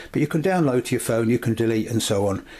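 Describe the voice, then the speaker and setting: In an ordinary speaking voice, a man talks at a medium pitch with ordinary pitch variation. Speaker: camera reviewer. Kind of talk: tutorial.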